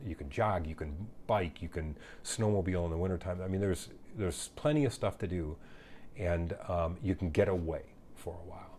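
On a very clean recording with a silent background, a man with a very deep, low pitch and a dark, mellow, somewhat breathy tone speaks at a fairly quick pace with ordinary pitch variation. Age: 50s. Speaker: fire chief. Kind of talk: casual chat. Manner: halting, many fillers.

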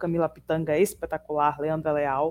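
A woman's dark, mellow tone at a moderate pace. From Pojuca, Bahia, Brazil. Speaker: podcast co-host, student and writer. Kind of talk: casual chat.

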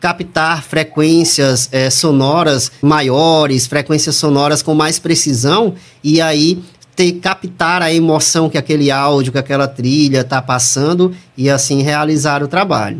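A plain, everyday voice from a man, fairly high in pitch, fairly slow, with fairly even intonation. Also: very even loudness. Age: 30s. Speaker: audio producer and voice-over announcer. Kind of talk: interview.

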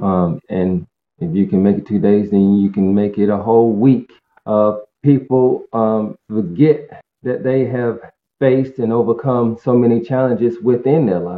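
A man talks fairly slowly, his voice at a medium pitch and his pitch varying in an ordinary way. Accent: American. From North Carolina, Greensboro. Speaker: sober advocate. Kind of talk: interview, personal recovery story. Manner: hesitant, many fillers.

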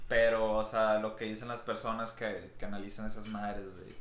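A man talks at a fairly slow pace with a Mexican accent and a fairly low pitch. His flat, monotone delivery carries audible room echo. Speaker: podcast co-host. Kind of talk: casual chat.

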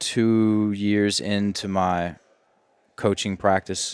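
A man speaks in a fairly low voice with a Southern US accent. The recording is very clean and dry, close up with no echo and a silent background. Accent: Southern US drawl. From US South (Virginia). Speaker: language and mindset coach. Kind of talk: casual podcast interview.

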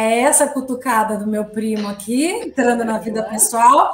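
Speaking fairly slowly in a high voice with ordinary pitch variation, a woman is heard with noticeable background noise and audible room echo. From Brazil, São Paulo. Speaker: communication strategist. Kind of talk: interview. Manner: halting.

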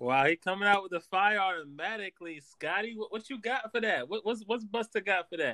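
Speaking in a raised, projected voice, a man with high pitch and a bright, sharp, animated tone moves at a fairly quick pace with hardly any pauses and ordinary pitch variation, in a dry, close sound with no echo. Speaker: judge and scorekeeper. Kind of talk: casual banter. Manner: jokey, animated.

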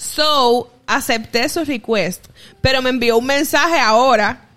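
Her voice is raised and projected, high in pitch, with a bright, sharp tone. The woman's pitch varies an ordinary amount. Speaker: podcast co-host. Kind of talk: casual chat.

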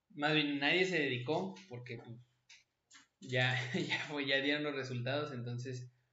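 Through audible room echo, a man speaks at a fairly slow pace with a fairly high pitch and fairly even intonation. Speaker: podcast host. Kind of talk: casual chat.

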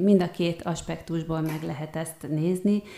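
Her voice is fairly low, with a dark, mellow tone. The woman speaks at a moderate pace. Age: 40s. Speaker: art therapist and kinesiologist, student. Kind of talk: interview.

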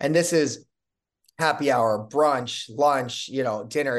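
A man with an American accent and an unremarkable speaking voice talks at a fairly slow pace. His pitch is medium and his intonation fairly even. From Chicago. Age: 40s. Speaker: restaurant entrepreneur. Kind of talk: interview.

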